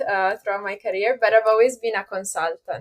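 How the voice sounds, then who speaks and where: Her intonation stays fairly even as this woman talks at a fairly high pitch. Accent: Italian. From Italy. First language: Italian. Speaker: software consultant and author. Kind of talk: podcast interview.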